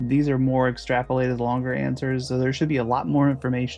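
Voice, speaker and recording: Music plays behind a man speaking at a fairly quick pace. His voice has a medium pitch. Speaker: animator. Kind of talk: casual Q&A monologue.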